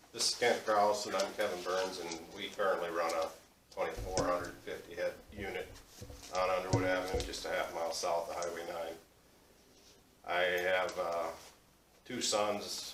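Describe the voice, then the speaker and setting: A man talks at a moderate pace, leaving long, frequent pauses. The recording carries noticeable background noise and audible room echo. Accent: American. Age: 60s. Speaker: hog farmer. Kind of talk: public meeting presentation.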